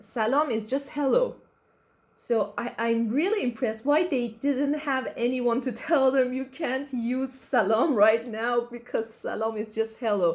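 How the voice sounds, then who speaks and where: A woman's high-pitched voice with an Iranian accent, fairly slow, with ordinary pitch variation. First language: Persian. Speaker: YouTuber. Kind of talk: casual reaction commentary. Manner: halting, many fillers and restarts.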